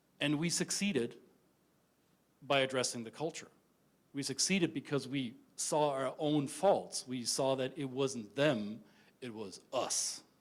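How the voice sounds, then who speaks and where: A man with a German accent speaks at a medium pitch with ordinary pitch variation. His pace is fairly slow, with long, frequent pauses. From Germany. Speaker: intercultural business consultant. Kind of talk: conference talk. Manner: direct, some stammering.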